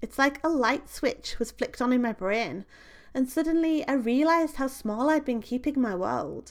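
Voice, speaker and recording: With a British accent, a woman speaks at a moderate pace and a high pitch, using ordinary pitch variation, in a very clean recording with a silent background. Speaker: podcast host. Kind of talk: solo podcast monologue.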